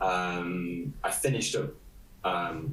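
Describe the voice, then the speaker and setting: Room echo is audible as a man speaks with an East Midlands accent. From England, Nottingham. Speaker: illustrator. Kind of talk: interview. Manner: halting.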